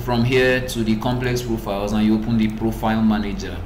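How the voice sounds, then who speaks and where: A man is heard with audible room echo. There's noticeable background noise as well. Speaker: software tutorial creator. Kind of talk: tutorial. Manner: normally fast-talking.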